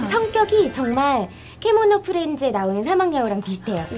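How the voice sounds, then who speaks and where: A woman speaks at a high pitch while clear music plays in the background. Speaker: voice actor. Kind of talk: interview answer. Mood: cheerful, playful. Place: studio.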